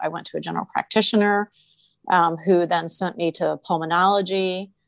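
An ordinary speaking voice moves at a fairly quick pace against a quiet background, the sound dry and close with no echo. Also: woman. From Maryland. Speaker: patient sharing health story. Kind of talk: personal storytelling in an interview.

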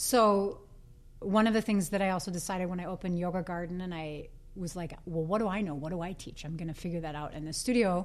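Speaking very fast with an American accent, a woman uses a medium pitch and ordinary pitch variation. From US Midwest, Green Bay, Wisconsin. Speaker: yoga studio owner and teacher. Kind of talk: casual interview.

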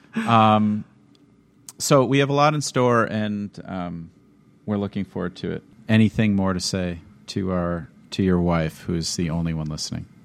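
Pausing long and often, a man with an American accent speaks at a fairly low pitch with ordinary pitch variation. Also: moderate pace. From Minnesota. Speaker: choral music educator and podcast co-host. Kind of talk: casual chat.

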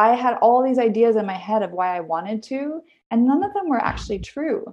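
A woman speaks with a Canadian accent and lively intonation. Her pace is moderate. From Vancouver, Canada. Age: 40s. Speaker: health coach. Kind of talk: interview.

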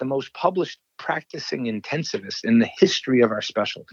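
Fairly quick male speech with an American accent. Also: dry, close sound with no echo. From New York. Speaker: ICU physician and author. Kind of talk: interview. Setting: phone call. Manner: halting, many fillers.

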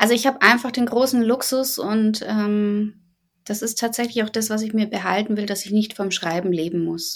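Fairly high in pitch with fairly even intonation, a woman speaks in an unremarkable speaking voice. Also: moderate pace. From Bavaria, Germany. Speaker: novelist. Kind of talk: interview.

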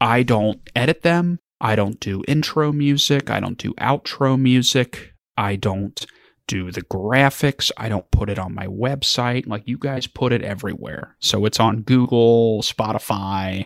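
Recorded with a dry, close sound and no echo, a man in a normal speaking voice talks at a fairly slow pace and medium pitch with ordinary pitch variation. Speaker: estate planning attorney with a podcast. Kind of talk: casual interview chat.

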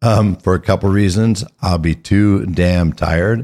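A man at a very slow pace with ordinary pitch variation, in a very clean recording with a silent background. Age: 60s. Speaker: podcast host. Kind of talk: solo monologue. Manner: conversational.

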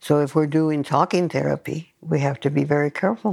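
This woman speaks at a moderate pace with a very deep, low pitch. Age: 80s+. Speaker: psychologist and elder healer. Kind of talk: interview.

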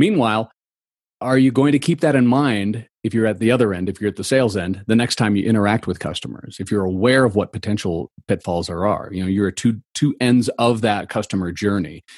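Speaking in a normal speaking voice with an American accent, a man talks at a fairly quick pace with a fairly low pitch and ordinary pitch variation, recorded dry and close with no echo. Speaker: customer experience consultant. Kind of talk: interview.

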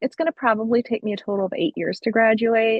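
A woman with an American accent speaks at a fairly high pitch, sounding somewhat breathy. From US, rural central Pennsylvania. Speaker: podcast co-host. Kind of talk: casual chat.

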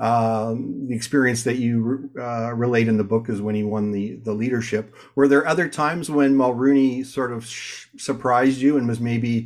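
A man with a Canadian accent and a plain, everyday voice, medium in pitch, at a fairly quick pace with fairly even intonation. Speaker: podcast host, corporate communicator. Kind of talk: interview.

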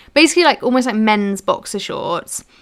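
This woman's voice has a bright, sharp tone. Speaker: sewing podcast co-host. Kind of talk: casual chat.

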